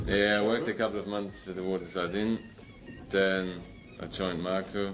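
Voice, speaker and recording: Music plays in the background while a man speaks at a very deep, low pitch. Audible echo comes off the room. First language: not English. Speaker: chef. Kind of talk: interview. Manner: halting.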